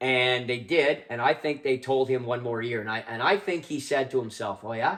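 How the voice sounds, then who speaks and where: Animated in tone, a man with a Canadian accent talks at a medium pitch and moderate pace, with ordinary pitch variation. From Canada. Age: 60s. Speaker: hockey podcast co-host. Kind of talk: casual chat.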